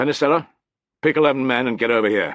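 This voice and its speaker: A raspy, put-on character voice comes from a man speaking at a very fast pace and a medium pitch. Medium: read story. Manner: clipped, soldierly.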